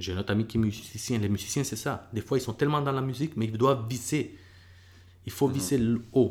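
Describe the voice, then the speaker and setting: A man's somewhat breathy, medium-pitched voice at a very fast pace with ordinary pitch variation. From El Salvador, moved to Quebec at 11. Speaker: MMA fighter and bus driver. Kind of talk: casual interview.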